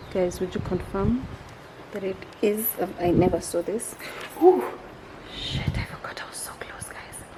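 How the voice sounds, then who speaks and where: A woman whispers at a moderate pace, with long, frequent pauses, big swings in loudness, and noticeable background noise. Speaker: vlogger. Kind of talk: casual vlog narration. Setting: outdoors at a nature park. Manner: whispering.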